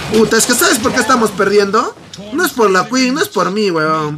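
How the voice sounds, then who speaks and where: A man's raised, projected voice sits high in pitch and swings very widely. He keeps a moderate pace over noticeable background noise. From Peru. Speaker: gaming streamer. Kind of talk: casual chat. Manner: animated. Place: home room.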